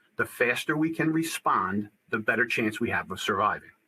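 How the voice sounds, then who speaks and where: Man's voice with an American accent and ordinary pitch variation. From New Jersey. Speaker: school security trainer, former police officer. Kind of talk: webinar presentation. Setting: online webinar. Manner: fast.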